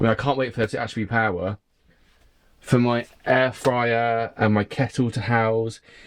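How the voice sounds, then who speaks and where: A man with a southern English accent speaks at medium pitch and a moderate pace over a quiet background. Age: 20s. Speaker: sailing vlogger. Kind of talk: casual video diary. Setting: boatyard. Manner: animated.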